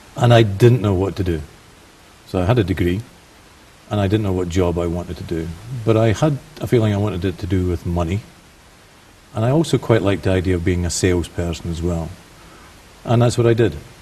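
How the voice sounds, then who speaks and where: Someone with a Scottish accent talks at a very fast pace yet leaves long, frequent pauses, with ordinary pitch variation. Noticeable background noise sits under the voice. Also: man, very deep, low pitch for a man. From Scotland. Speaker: banker. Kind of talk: TV interview.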